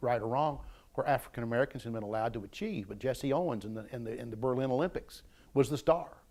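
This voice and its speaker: Speaking fairly quickly in an Appalachian accent, a man at medium pitch comes through on a very clean recording with a silent background. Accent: Appalachian Kentucky. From eastern Kentucky. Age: 60s. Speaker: retired university staff member. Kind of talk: oral history interview. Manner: repetitive stammering restarts.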